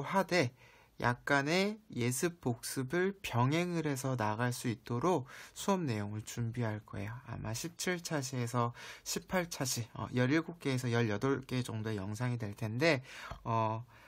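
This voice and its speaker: In a very clean recording over a silent background, the words are delivered fairly slowly. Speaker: math teacher. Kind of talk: lecture.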